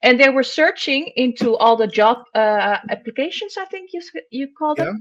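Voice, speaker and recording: With a Dutch accent, a woman talks at a moderate pace in a high pitch, with very wide pitch swings, big swings in loudness and hardly any pauses. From Netherlands. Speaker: columnist on workwear. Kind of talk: podcast discussion.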